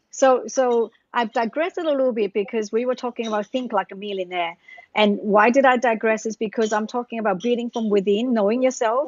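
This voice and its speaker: At a fairly quick pace, a woman speaks. Her pitch is fairly high. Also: ordinary pitch variation. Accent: Australian. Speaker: author and business coach. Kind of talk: interview. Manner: fast.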